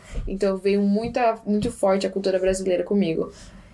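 Moderate speed and ordinary pitch movement from a female speaker, with noticeable background noise behind her. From Japan and Brazil. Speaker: guest interviewee. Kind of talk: casual interview.

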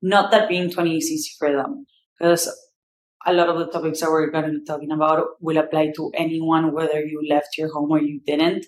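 In a strong Argentine accent, a woman with a fairly low voice talks at a fairly quick pace with fairly even intonation. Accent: strong Argentinian Spanish accent in English. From Argentina. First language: Spanish. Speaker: podcast host. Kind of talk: solo monologue. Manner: casual, informal with swearing.

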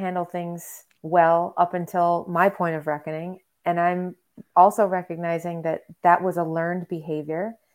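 A woman with a Western New York accent speaks at a fairly slow pace. Her pitch is fairly low. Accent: Western New York American. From US Northeast (Rochester, New York). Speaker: ecotherapist. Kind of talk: interview. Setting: video call.

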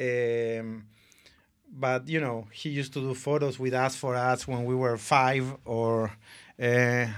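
In a very clean recording with a silent background, a man with a Spanish accent talks at a fairly slow pace. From Argentina. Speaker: advertising creative director. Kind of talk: casual interview.

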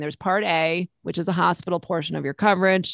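Someone with a plain, everyday voice and an American accent speaks at a fairly quick pace with ordinary pitch variation, in a dry, close sound with no echo. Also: woman. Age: 50s. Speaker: Medicare insurance broker. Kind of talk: casual interview.

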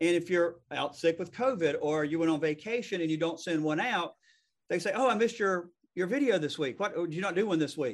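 A high-pitched man with a Southern accent at a fairly quick pace, ordinary pitch variation, and a quiet background. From US South. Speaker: real estate attorney and podcast host. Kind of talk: casual interview. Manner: fast.

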